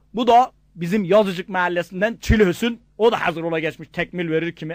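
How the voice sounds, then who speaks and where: A man with a Gaziantep accent, lively intonation and a moderate pace, recorded dry and close with no echo, very clean with a silent background. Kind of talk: comic dialect joke telling.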